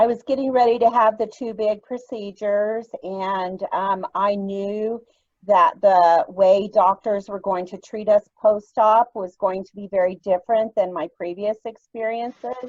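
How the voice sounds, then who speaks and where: A woman's ordinary speaking voice at a medium pitch, fairly slow but with hardly any pauses, ordinary pitch variation and big swings in loudness, in a dry, close sound with no echo. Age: 60s. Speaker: nurse and chronic pain patient. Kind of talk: personal testimony.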